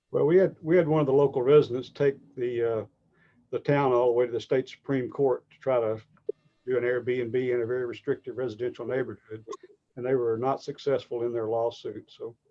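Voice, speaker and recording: A man with a Southern accent speaks at a medium pitch. His pace is fairly quick and his intonation fairly even. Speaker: realtor. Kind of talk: webinar interview.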